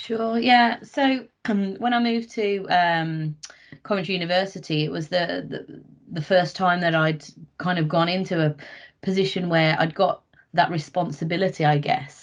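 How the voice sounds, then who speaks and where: With ordinary pitch variation, the words come at a moderate pace. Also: woman, fairly low pitch for a woman. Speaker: senior leadership team member. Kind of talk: personal testimony in group session. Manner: quiet; halting.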